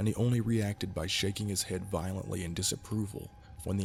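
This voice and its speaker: A man talks at a fairly quick pace in a fairly low pitch. His voice is somewhat breathy, with fairly even intonation. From Kentucky. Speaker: amateur narrator. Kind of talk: horror story narration.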